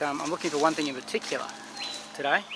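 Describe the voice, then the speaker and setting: Over noticeable background noise, a man with an Australian accent speaks at a fairly high pitch. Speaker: bushcraft vlogger. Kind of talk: outdoor tutorial. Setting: outdoors in a forest. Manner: hesitant, repeats words; soft-spoken.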